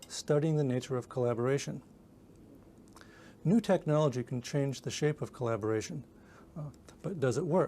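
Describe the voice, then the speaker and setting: Somewhat breathy and dark, mellow in tone, a man speaks at a fairly high pitch with ordinary pitch variation and long, frequent pauses. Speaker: research scientist. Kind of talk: scripted statement to camera. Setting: video shoot. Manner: fast; smooth.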